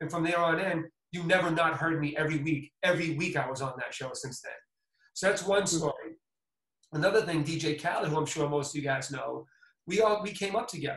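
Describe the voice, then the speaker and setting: A plain, everyday voice with an American accent, speaking at a fairly quick pace with ordinary pitch variation. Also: man, fairly high pitch for a man. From Boston, US. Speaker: music producer and DJ. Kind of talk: casual interview chat.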